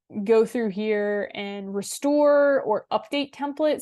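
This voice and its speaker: An unremarkable speaking voice from a woman, fairly high-pitched with ordinary pitch variation, over a quiet background. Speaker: webinar presenter. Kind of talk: software demo webinar. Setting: online webinar. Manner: casual, with fillers.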